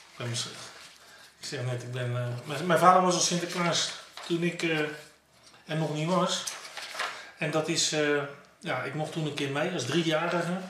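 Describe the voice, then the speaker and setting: In a room with audible echo and noticeable background noise, a man with a fairly high pitch speaks at a moderate pace with fairly even intonation and long, frequent pauses. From Netherlands, South Holland (Pijnacker); South Holland, Netherlands. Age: 50s. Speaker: former professional footballer. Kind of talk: interview. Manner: halting. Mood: reflective, nostalgic. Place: home room.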